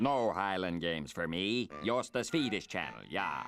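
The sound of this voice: A man puts on a cartoonish character voice at a fairly low pitch, moving at a moderate pace over clear background noise.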